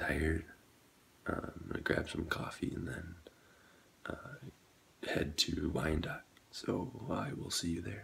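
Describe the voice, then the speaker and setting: Whispering, a man goes at a very slow pace. Long, frequent pauses break up his words. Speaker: vlogger. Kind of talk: casual vlog chat. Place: home room. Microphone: phone near.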